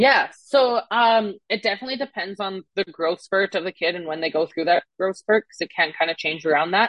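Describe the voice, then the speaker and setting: Ordinary pitch variation, with an American accent. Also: woman. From Canada. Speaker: fitness and nutrition coach. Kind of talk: casual interview.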